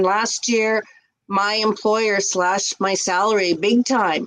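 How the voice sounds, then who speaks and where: A woman speaks in a plain, everyday voice with a Canadian accent. Her pitch is fairly high and her intonation fairly even. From Canada, English-speaking Quebec near Montreal. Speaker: ESL teacher and online business owner. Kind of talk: casual interview on a livestream. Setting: live video stream.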